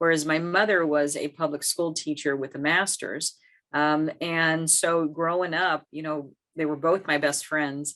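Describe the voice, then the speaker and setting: With an American accent, a woman talks at a fairly slow pace in a very deep, low pitch and a monotone, flat intonation. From US South, South Texas (Hebbronville). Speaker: professor. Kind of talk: interview. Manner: hesitant, many fillers.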